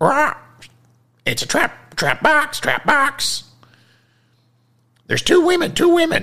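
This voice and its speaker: A put-on character voice, high-pitched and very slow, broken by long, frequent pauses. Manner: agitated, warning.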